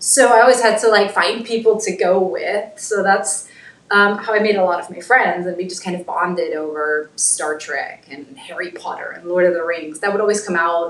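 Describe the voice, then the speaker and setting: A woman with a slight German accent talks at medium pitch with hardly any pauses and big swings in loudness over noticeable background noise. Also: ordinary pitch variation, moderate pace. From Germany. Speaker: cosplayer. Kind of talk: casual chat.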